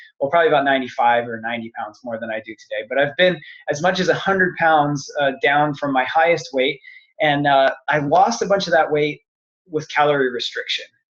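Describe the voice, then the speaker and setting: At a fairly quick pace, a man with a fairly high pitch speaks in an ordinary speaking voice with ordinary pitch variation. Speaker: fitness business coach. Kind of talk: sales pitch webinar. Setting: online webinar call.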